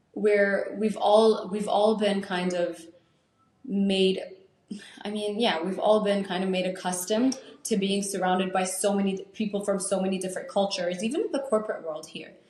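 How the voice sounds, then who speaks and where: Heard with audible room echo, a woman speaks at a moderate pace and medium pitch with fairly even intonation. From Saudi Arabia, Lebanese-American family. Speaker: podcast co-host. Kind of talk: casual chat.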